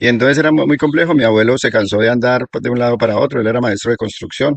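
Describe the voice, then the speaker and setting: This man's voice sits at a medium pitch with ordinary pitch variation. He speaks at a very fast pace. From Colombia, Risaralda; raised in Guaviare. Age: 60s. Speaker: settler recounting local history. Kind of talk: oral history testimony.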